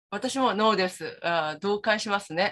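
At a moderate pace, a woman with a medium pitch speaks with a Korean accent over a quiet background. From South Korea. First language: Korean (speaking Japanese). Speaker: Korean culture scholar, panelist; panelist. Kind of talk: panel discussion. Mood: friendly, agreeing. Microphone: video call.

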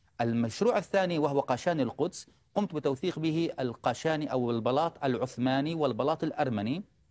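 A man with a fairly high pitch and ordinary pitch variation talks at a moderate pace with hardly any pauses and very even loudness. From Jerusalem, Palestine; Palestine. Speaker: historian and author; guest. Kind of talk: TV interview. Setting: studio. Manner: formal. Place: studio. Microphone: lapel.

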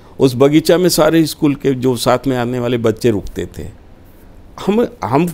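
A man talks at a fairly slow pace, his intonation lively. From Uttar Pradesh, Varanasi; Uttar Pradesh. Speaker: politician and party spokesperson; guest. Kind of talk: interview. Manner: formal. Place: studio. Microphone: lapel.

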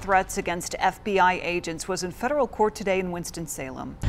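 A woman with an American accent at a very fast pace, ordinary pitch variation, music in the background. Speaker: TV news anchor and reporter. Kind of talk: local TV newscast anchor delivery. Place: studio. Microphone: lapel.

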